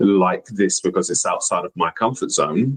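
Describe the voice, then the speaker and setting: Here a man speaks with an English accent. His pace is moderate. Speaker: youth soccer coach and podcast co-host. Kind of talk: casual discussion. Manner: many fillers (um, you know).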